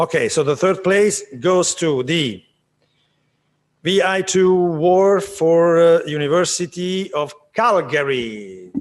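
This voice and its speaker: A man speaks very slowly in a high pitch for a man, with a non-native accent. His pitch varies in an ordinary way. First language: not English. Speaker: award ceremony presenter. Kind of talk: award announcement.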